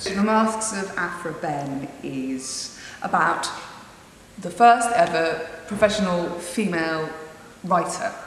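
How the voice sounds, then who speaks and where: Speech at a very slow pace with ordinary pitch variation comes through audible room echo and light background noise. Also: woman, fairly low pitch for a woman. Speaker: actor and playwright. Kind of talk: interview answer. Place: empty room.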